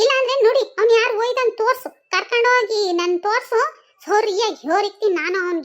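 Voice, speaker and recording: In a cartoonish character voice, a woman speaks at a moderate pace with an extremely high pitch and ordinary pitch variation. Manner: wailing, exclamatory.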